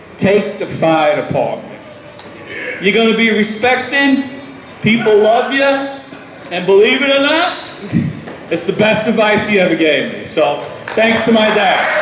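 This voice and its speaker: Loud and at a fairly slow pace, a man with an American accent speaks in a high voice with lively intonation and long, frequent pauses, amid audible room echo and noticeable background noise. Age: 50s. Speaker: retiring firefighter. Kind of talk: retirement speech. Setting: party with audience and microphone.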